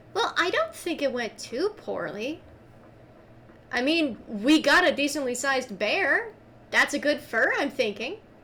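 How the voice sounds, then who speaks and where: A woman puts on a character voice at a high pitch. She speaks at a moderate pace. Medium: actual play. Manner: friendly, chatty.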